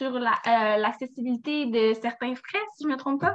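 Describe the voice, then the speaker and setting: A bright, sharp tone with ordinary pitch variation. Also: woman. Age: 20s. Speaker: law student. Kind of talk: explanation.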